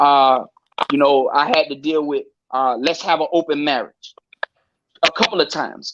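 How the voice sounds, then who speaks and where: At a moderate pace, a man with a fairly high pitch and ordinary pitch variation speaks with long, frequent pauses. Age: 40s. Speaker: live-stream panel guest. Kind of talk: casual chat. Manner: halting.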